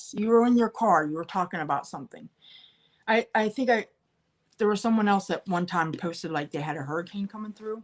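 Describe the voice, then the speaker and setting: This woman speaks with an American accent. Her pitch is medium, with ordinary pitch variation. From central Pennsylvania (Bedford). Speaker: online live-sale seller. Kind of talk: live stream chat with viewers.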